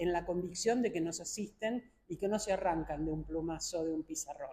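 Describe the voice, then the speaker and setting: Somewhat breathy and dark, mellow in tone, a woman's voice comes through. She talks at a moderate pace. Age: 70s. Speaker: philosopher and academic. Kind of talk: press conference interview. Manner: formal.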